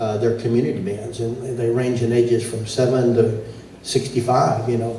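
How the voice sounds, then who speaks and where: A man with a Texas accent speaks at a moderate pace in a medium pitch and a flat monotone. There is audible room echo and noticeable background noise. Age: 70s. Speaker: competition announcer and band judge. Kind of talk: event announcing. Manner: casual, halting with fillers.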